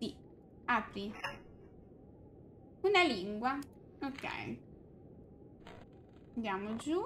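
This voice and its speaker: A woman talks very slowly at a fairly high pitch, with very wide pitch swings, long, frequent pauses and light background noise. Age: 20s. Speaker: streamer. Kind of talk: gameplay commentary. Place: home room.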